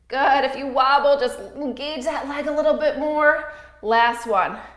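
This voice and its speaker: A woman with a high voice speaks at a fairly slow pace, with audible echo in the room. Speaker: yoga instructor. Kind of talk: guided workout class. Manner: instructional, paced with breath cues.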